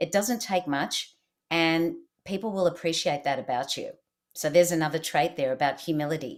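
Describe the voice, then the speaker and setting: A woman with an Australian accent talks at a moderate pace with a fairly low pitch. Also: ordinary pitch variation. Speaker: leadership expert and keynote speaker. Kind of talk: interview.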